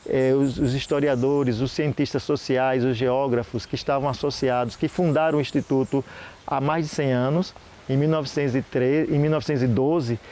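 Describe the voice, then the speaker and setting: Delivered at a moderate pace in a Sergipe accent, the speech has fairly even intonation. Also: man, fairly high pitch for a man. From Sergipe, Brazil. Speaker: historian. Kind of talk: interview. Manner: halting.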